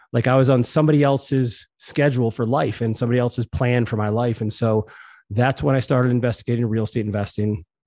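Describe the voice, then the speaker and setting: Speaking at a very fast pace against a quiet background, a man with an American accent holds a medium pitch and fairly even intonation. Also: dry, close sound with no echo. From Massachusetts, US. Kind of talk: interview. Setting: home living room.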